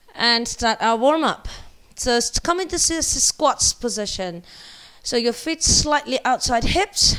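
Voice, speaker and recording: With a high voice, a woman talks at a fairly slow pace. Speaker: fitness instructor. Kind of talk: workout instruction. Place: gym. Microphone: headset.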